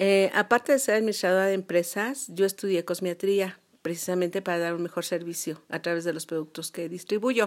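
A woman's unremarkable speaking voice at medium pitch, fairly quick in pace with ordinary pitch variation, on a very clean recording with a silent background. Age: 60s. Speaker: retired business administrator and cosmetologist. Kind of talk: interview.

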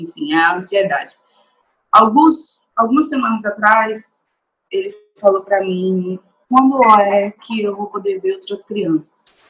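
At a very slow pace, a woman speaks with lively intonation. Her pitch sits in the medium range. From Brazil. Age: 30s. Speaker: restaurant assistant manager. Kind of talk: testimony.

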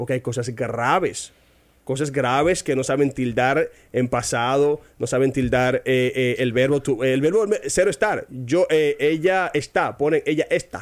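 On a very clean recording with a silent background, a man with a normal speaking voice talks at a fairly slow pace, at a fairly high pitch, with ordinary pitch variation and very even loudness. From Dominican Republic, Barahona. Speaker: English teacher. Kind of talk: casual interview chat.

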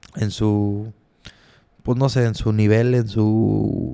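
A man with a Mexican accent has a dark, mellow tone at a fairly low pitch. His intonation is fairly even. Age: 20s. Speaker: podcast host. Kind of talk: casual monologue.

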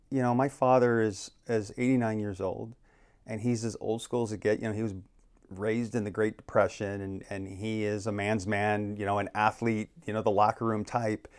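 Speaking at a moderate pace with an American accent, a man has a fairly low pitch and an unremarkable speaking voice, on a very clean recording with a silent background. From Arizona (Phoenix). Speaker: realtor and planning commission chair. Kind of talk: casual interview conversation.

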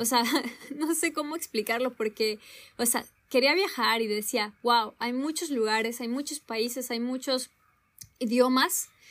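A high-pitched woman talks fairly slowly, her pitch varying in an ordinary way. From Mexico, Zihuatanejo (coast). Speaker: podcast co-host. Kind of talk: casual chat.

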